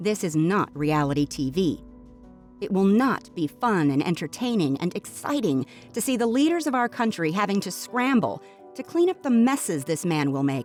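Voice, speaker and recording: Over background music, a woman speaks at medium pitch with very wide pitch swings. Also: moderate pace. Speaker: voice-over artist. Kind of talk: opinionated rant to camera, read from a written post. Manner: impassioned, emphatic.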